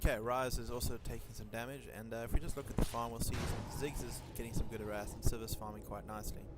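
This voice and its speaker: A man talks at a very fast pace amid audible room echo and noticeable background noise. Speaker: esports shoutcaster. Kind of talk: live commentary. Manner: soft-spoken; halting. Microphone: poor mic quality, breathing feedback.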